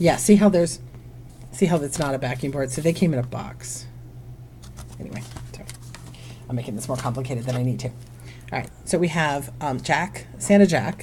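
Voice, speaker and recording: Noticeable background noise runs behind a woman speaking at a moderate pace. Her loudness swings widely, and she takes long, frequent pauses. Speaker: online reseller and vlogger. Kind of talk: casual haul video. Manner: chatty, many fillers.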